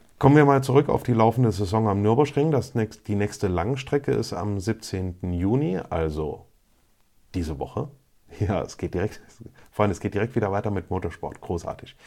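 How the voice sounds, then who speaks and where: In a normal speaking voice, a man with a fairly low pitch talks at a moderate pace with lively intonation, recorded very cleanly against a silent background. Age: 30s. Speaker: motorsport podcaster. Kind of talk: solo podcast monologue.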